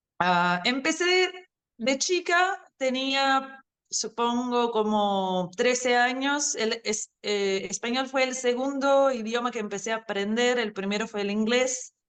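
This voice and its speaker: A woman with an Argentine accent speaks at a very slow pace. Her high-pitched voice has lively intonation. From Brazil. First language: Portuguese (speaking Spanish). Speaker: language teacher. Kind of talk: interview. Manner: hesitant, many fillers.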